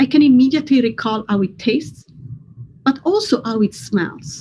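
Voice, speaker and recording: Speaking with an Italian accent, a woman talks at a fairly slow pace in a high pitch with very wide pitch swings. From Italy. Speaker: neuroscientist. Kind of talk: science explainer for kids. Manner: scripted, clear.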